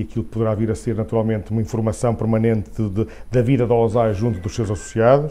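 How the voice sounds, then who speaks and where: This voice has a dark, mellow tone and a Porto accent. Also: man. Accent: Porto accent, noticeable. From northern Portugal, Porto. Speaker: head of a professional association. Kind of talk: interview. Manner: halting, many fillers.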